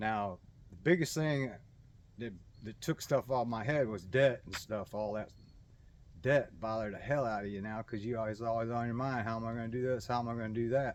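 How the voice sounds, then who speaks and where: With ordinary pitch variation, a man talks fairly quickly. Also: medium pitch for a man. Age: 60s. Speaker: personal finance vlogger. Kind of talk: casual monologue. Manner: halting, many repeated words.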